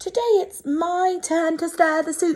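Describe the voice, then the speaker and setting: A woman's put-on character voice, extremely high-pitched, at a fairly slow pace. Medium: read story.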